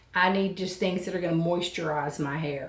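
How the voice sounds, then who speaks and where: Audible room echo surrounds the voice. A woman speaks with fairly even intonation. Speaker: hair tutorial youtuber. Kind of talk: tutorial. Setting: home filming at desk. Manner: soft-spoken.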